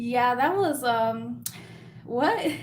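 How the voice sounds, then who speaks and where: A woman speaks at a fairly slow pace. Audible room echo can be heard. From US, Mexican-American family. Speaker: lash and beauty YouTuber. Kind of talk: live stream Q&A. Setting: live stream. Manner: casual, rambling chat with fillers.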